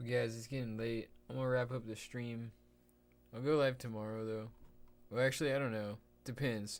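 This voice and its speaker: With long, frequent pauses, a man talks in a flat, monotone way. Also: medium pitch for a man, moderate pace. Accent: American. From Texas. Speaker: live streamer. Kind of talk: casual live stream chat. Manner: casual, laid-back; quiet, keeping voice down.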